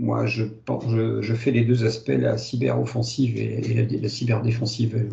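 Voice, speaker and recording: Vocal fry runs through a man's dark, mellow tone, with audible room echo around him. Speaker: lecturer and consultant. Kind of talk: lecture. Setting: webinar. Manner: fast; halting, many fillers.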